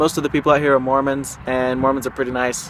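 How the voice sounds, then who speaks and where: Over noticeable background noise, a man speaks at a very fast pace and a fairly high pitch. His intonation is monotone and flat. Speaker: vlogger. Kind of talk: vlog. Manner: halting.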